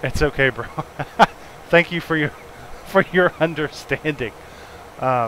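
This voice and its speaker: Fairly slow speech in an American accent, with ordinary pitch variation, long, frequent pauses and noticeable background noise. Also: man, fairly high pitch for a man. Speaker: flight simulator streamer. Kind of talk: casual live-stream commentary.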